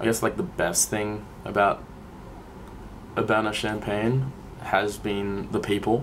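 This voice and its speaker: A man with an Australian accent speaks at a fairly low pitch and a fairly slow pace. His intonation is fairly even, with long, frequent pauses. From Australia (Sydney). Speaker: student documentary maker. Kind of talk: documentary interview.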